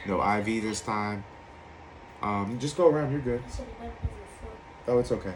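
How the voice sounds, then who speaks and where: In an American accent, a man speaks at a fairly low pitch and a moderate pace. Room echo is audible. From Virginia Beach, Virginia, US. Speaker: recovering alcoholic sharing his story. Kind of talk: personal testimony.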